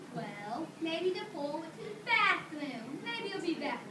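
A cartoonish character voice speaks at a high pitch and a fairly slow pace. Clear background noise and a slight echo are present. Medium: puppet show. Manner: goofy, joking.

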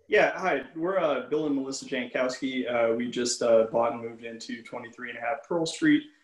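A man at a moderate pace with hardly any pauses, ordinary pitch variation, audible room echo and a quiet background. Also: medium pitch for a man. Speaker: homeowner applicant. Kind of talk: presentation. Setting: video call. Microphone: video call.

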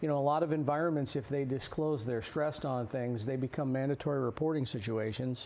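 This man speaks with an American accent at a medium pitch, his intonation fairly even. He talks very fast and hardly pauses at all. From New Jersey. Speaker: blacksmith, pastor and Navy veteran. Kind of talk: interview. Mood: earnest, passionate. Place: studio. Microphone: lapel.

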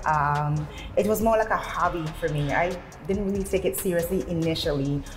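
The speaker is a woman, talking at a moderate speed. Soft music can be heard faintly behind her. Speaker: fitness instructor. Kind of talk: interview answer. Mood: friendly, smiling. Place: gym. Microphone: lapel.

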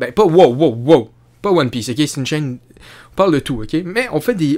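The tone is animated, in a Quebec accent. The background is quiet. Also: man. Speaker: YouTuber commentator. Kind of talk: casual vlog commentary. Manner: halting, many fillers and repetitions. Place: home room. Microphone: studio mic.

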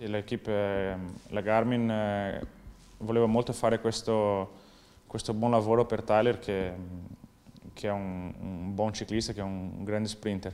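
A man's fairly low, dark, mellow voice in a monotone, flat intonation, at a fairly slow pace with long, frequent pauses. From southern Brazil. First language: Portuguese (speaking Italian). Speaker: professional cyclist. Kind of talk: interview. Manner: halting. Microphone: lapel.

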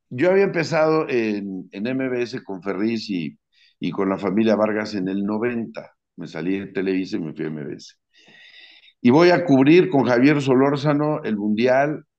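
Against a quiet background, a man talks at a fairly slow pace, with very wide pitch swings and big swings in loudness. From Mexico City. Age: 60s. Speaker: sports commentator. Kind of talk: casual interview. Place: home room.

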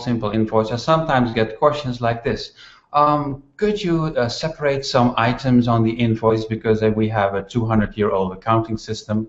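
A man at a moderate pace, with audible room echo. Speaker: show host. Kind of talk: casual monologue and interview intro. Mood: wry, humorous complaint. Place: home room.

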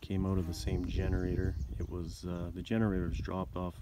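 A man's very deep, low voice at a fairly quick pace, dry with no echo, amid noticeable background noise. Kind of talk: casual show-and-tell narration. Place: garden. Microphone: phone near.

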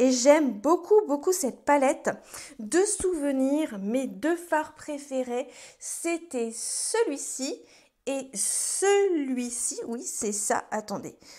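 Very slowly, a woman speaks in a high voice with a dark, mellow tone and very wide pitch swings over a quiet background. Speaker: beauty YouTuber. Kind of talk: casual vlog-style product review. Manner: chatty, hesitant with many fillers. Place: home room.

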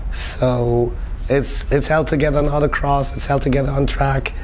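A man speaks fairly slowly, with light background noise behind him. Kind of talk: interview answer. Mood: relaxed, friendly. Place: shop. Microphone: lapel.

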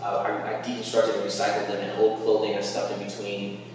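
Strong room echo surrounds a flat, monotone delivery, with light background noise underneath. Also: man. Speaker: sound artist and music teacher. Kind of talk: panel discussion. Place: hall. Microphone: camera far.

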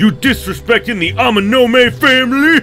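Over clear music in the background, a man uses a put-on character voice, raised and projected at an extremely high pitch. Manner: threatening, aggressive.

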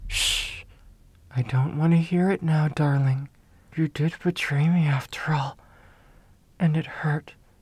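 Soft-spoken delivery at a fairly slow pace comes through in a dry sound with no echo. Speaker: voice actor performing a character. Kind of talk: roleplay audio drama. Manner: hushing, soft, possessive ASMR voice. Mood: soft, hushed, threatening.

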